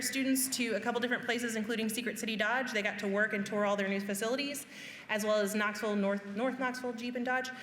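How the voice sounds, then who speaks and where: In a room with audible echo and noticeable background noise, a woman with a fairly high pitch talks very fast in a monotone, flat intonation. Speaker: high school career education staff. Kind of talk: parent information presentation.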